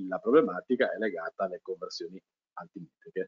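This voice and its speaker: A man is recorded against a quiet background, the sound dry with no echo. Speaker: GIS webinar presenter; webinar presenter. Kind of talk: webinar lecture. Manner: halting, many fillers and repetitions. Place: home room. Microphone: headset.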